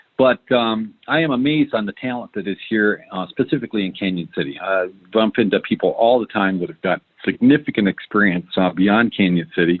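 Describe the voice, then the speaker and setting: A man at a fairly quick pace and a fairly low pitch. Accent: Michigan. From Michigan, US Midwest. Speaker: entrepreneur. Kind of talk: podcast interview. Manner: many filler words (um, uh).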